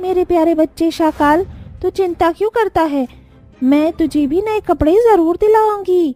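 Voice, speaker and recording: Over faint music in the background, a female-sounding cartoonish character voice speaks at a fairly slow pace in an extremely high pitch. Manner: soft, humble.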